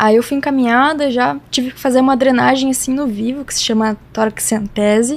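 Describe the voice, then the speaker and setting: The pace is moderate. Intonation stays fairly even throughout. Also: woman, high pitch for a woman. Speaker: cancer patient. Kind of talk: interview testimony. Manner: casual, conversational.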